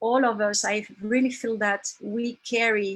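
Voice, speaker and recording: Somewhat breathy and fairly high, a woman's voice moves at a very slow pace with fairly even intonation. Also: very clean recording, silent background. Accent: French. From France. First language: French. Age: 50s. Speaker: women's circle facilitator. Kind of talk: testimony. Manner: halting.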